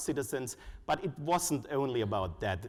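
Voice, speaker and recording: A man with a German accent speaks at a medium pitch and a moderate pace. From Germany. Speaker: conference speaker, foundation researcher. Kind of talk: conference presentation. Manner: hesitant, with frequent uh fillers.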